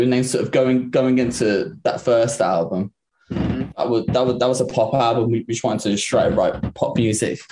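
A man in an English accent speaks at a fairly slow pace with a dark, mellow tone. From Liverpool, England. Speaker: drummer in a rock band. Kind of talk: interview. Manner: hesitant, many fillers.

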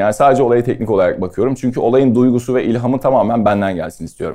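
In a very fast pace, a man speaks at medium pitch with a dark, mellow tone. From Istanbul, Turkey. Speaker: photographer and pastry chef. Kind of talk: casual talk to an audience. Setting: talk on stage with audience.

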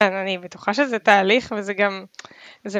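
Recorded dry and close with no echo, a woman speaks at a moderate pace in a bright, sharp tone. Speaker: podcast host. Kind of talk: interview conversation.

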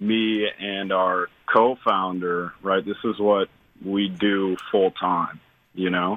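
A man with an American accent talks at a very slow pace. His fairly low voice stays monotone and flat. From Illinois. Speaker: youth basketball program founder. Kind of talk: radio interview.

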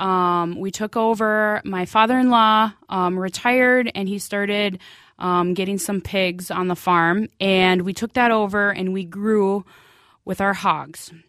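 Over a silent background in a very clean recording, a woman with an Upper Midwest accent speaks at a very slow pace, her medium pitch showing ordinary variation. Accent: Upper Midwest (Minnesota). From central Minnesota. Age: 30s. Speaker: hog farmer. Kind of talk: interview.

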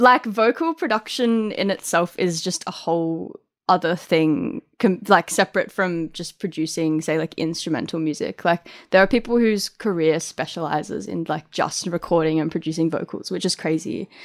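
Talking at a moderate pace with hardly any pauses, a woman with an Australian accent has a fairly low pitch with ordinary variation, the sound dry and close with no echo. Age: 20s. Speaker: music producer and DJ. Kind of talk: interview. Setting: remote call from home.

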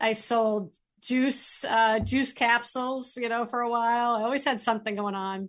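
In a quiet background, a woman with an American accent speaks at a moderate pace in a normal speaking voice, her pitch fairly high and her intonation fairly even. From northern Massachusetts. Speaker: sales coach. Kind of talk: radio interview.

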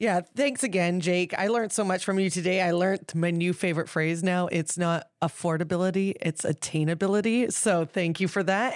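Using a normal speaking voice, a woman with a Canadian accent talks at a moderate pace and medium pitch with fairly even intonation, on a very clean recording with a silent background. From New Westminster, British Columbia, Canada. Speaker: podcast co-host. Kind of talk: casual chat. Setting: studio.

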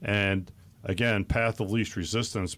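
The recording is very clean with a silent background. A normal speaking voice talks at a moderate pace with ordinary pitch variation. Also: man. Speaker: financial advisor. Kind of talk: radio talk show discussing finance. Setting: studio.

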